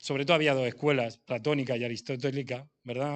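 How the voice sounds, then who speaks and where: The delivery is monotone and flat, moving at a fairly quick pace. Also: man. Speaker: preacher. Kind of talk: sermon. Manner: fast.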